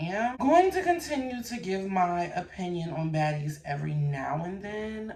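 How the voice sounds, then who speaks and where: A woman speaks over noticeable background noise. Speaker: YouTube commentary host. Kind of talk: casual vlog chat. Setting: hotel room. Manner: casual, rambling.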